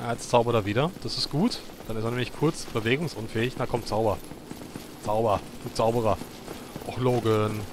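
Over noticeable background noise, a man with a medium pitch talks at a fairly quick pace with fairly even intonation and long, frequent pauses. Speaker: gaming let's player. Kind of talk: gameplay commentary. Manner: halting.

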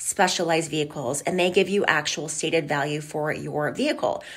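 Speaking at a moderate pace, a woman has a fairly low pitch and ordinary pitch variation. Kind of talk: informational vlog talk to viewers. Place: office. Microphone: phone near.

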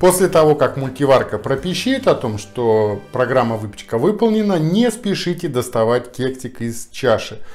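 A man talks fairly slowly while faint music plays behind him. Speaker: home cooking host. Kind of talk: tutorial. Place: kitchen.

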